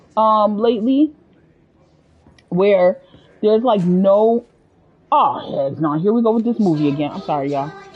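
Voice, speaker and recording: Animated woman at a moderate pace, with very wide pitch swings, long and frequent pauses, and noticeable background noise. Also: medium pitch for a woman. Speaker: video game streamer. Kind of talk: casual live gameplay commentary.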